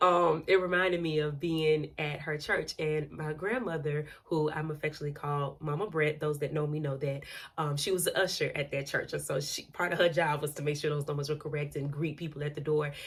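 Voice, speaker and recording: A woman with a very deep, low pitch sounds animated and somewhat breathy. She moves at a fairly quick pace with hardly any pauses. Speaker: podcaster. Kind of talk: casual monologue podcast.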